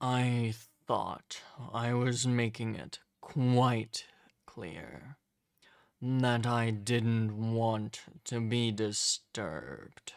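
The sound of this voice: A man's put-on character voice at medium pitch, menacing in tone and very slow, on a very clean recording with a silent background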